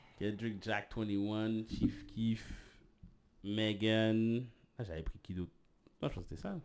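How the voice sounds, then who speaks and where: With a Quebec accent, a man speaks at a very slow pace in a fairly low voice for a man, his intonation fairly even and his speech full of long, frequent pauses. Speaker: podcast co-host. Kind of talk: casual chat. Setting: live stream.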